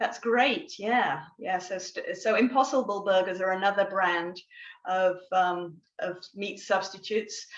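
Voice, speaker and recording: A woman speaks at a medium pitch and moderate pace with ordinary pitch variation. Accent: English. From England. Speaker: guest speaker on plant-based diet. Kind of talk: educational talk. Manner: hesitant, many fillers.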